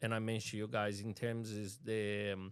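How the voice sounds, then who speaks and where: With a strong Brazilian accent, a man speaks at a moderate pace. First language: Portuguese. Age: 40s. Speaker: city councillor. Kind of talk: interview.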